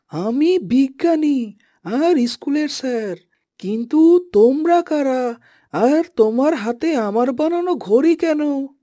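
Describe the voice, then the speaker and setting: Putting on a cartoonish character voice, a woman talks at a fairly slow pace, high-pitched and with lively intonation. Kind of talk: cartoon voice acting. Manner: explanatory, gentle.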